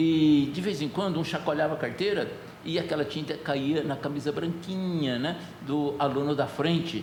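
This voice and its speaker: A man with a fairly high pitch speaks in fairly even intonation. Audible room echo and noticeable background noise surround him. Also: moderate pace. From Brazil, rural interior. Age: 70s. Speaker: pastor. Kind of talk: sermon. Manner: conversational, storytelling.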